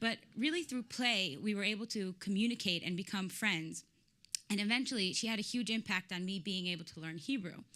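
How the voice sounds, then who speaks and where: Her tone bright and sharp, a woman speaks at a medium pitch and moderate pace with lively intonation. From Israel (Tel Aviv). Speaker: startup founder. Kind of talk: pitch presentation.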